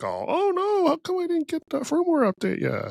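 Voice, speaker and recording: At a moderate pace, someone uses a put-on character voice at extremely high pitch. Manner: panicked, freaking out.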